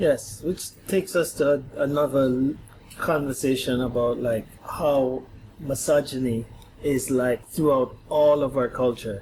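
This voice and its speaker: With a Jamaican accent, a man speaks at a medium pitch and a fairly slow pace, his intonation fairly even and his loudness very even, over noticeable background noise. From Guyana, then Jamaica. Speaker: podcast guest. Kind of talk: casual chat. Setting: at home on a couch.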